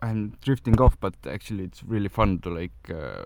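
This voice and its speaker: A man speaks with a non-native accent. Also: very clean recording, silent background. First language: not English. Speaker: podcast host. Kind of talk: solo monologue on wellness tips. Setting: in a car. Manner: halting, many fillers.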